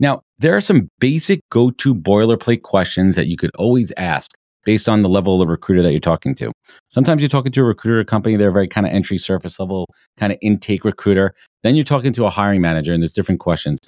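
A man speaks at a very fast pace in a fairly low pitch with lively intonation. The sound is dry and close, with no echo. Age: 40s. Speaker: recruiter. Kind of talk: interview. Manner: animated.

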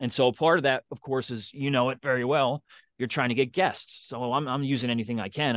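A man talks at a very fast pace, medium in pitch, with ordinary pitch variation. The background is quiet and the sound is dry and close with no echo. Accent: Philadelphia. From Philadelphia. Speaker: podcaster and podcast producer. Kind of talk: casual interview.

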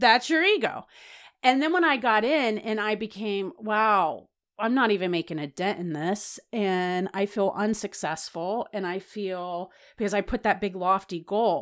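On a very clean recording with a silent background, a woman with an American accent uses an ordinary speaking voice at medium pitch with lively intonation. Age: 40s. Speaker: registered dietitian and food equity advocate. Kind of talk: interview conversation.

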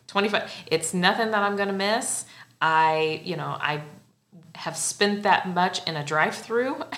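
A woman with a Midwestern US accent, medium pitch, ordinary pitch variation and a fairly slow pace. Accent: US Midwest. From Central Illinois. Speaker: podcast host. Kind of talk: casual interview chat. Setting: studio.

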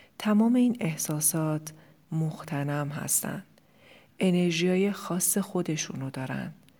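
A woman with a dark, mellow, somewhat breathy tone talks at a very slow pace with ordinary pitch variation, on a very clean recording with a silent background. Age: 40s. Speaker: life coach and podcast host. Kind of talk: solo podcast monologue.

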